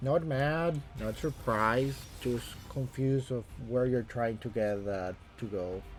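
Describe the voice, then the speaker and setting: Music plays in the background as the speaker, with a Latin American accent, talks at a fairly slow pace with ordinary pitch variation. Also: man, medium pitch for a man. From Costa Rica. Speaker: gaming streamer. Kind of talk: live stream chat. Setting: home streaming room with camera.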